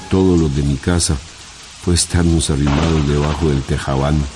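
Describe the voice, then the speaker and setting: Noticeable background noise sits behind a man's voice. His pitch is very deep and low, with fairly even intonation. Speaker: radio narrator. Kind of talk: short story reading for radio.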